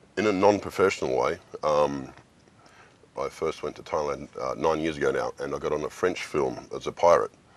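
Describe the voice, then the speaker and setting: The man talks in an Australian accent at a fairly quick pace. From Australia, Sydney. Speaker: actor. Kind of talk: interview.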